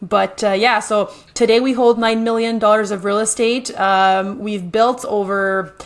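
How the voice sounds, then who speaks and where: A woman's fairly high voice in a French Canadian accent, monotone and flat, at a fairly slow pace with hardly any pauses. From French Canada. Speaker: real estate investor and builder. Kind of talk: podcast interview.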